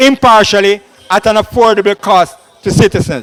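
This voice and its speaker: With a Jamaican accent, a high-pitched man speaks at a moderate pace in a dry, close sound with no echo, over noticeable background noise. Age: 60s. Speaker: political candidate. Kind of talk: public political speech.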